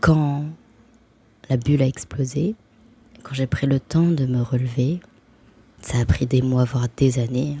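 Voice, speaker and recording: A woman with a very deep, low pitch and a dark, mellow, somewhat breathy tone speaks at a very slow pace. Her pitch variation is ordinary, and she leaves long, frequent pauses. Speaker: spiritual vlogger. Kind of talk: casual vlog monologue.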